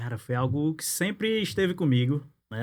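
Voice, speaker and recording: A man talks with ordinary pitch variation. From Natal, northeast Brazil. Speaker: insurance broker and business networking director. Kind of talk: podcast interview.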